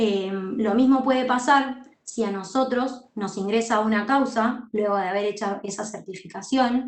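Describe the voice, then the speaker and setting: A woman speaks in a plain, everyday voice at a fairly slow pace, with hardly any pauses. Her pitch sits fairly high and her intonation stays fairly even. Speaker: university law teacher and court clerk. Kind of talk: lecture.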